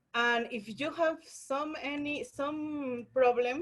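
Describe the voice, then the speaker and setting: A very slow delivery in a non-native accent. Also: woman. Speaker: workshop teacher, scientist. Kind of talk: online lecture tutorial. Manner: halting, many fillers and restarts.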